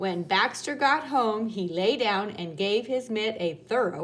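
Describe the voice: This is plain reading aloud. The words are read out as written.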